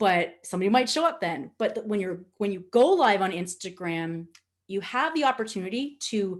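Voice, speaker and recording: In a Nova Scotian accent, a woman of medium pitch speaks with an animated tone and lively intonation against a quiet background. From Nova Scotia, Canada. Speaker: social media trainer. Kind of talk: webinar presentation.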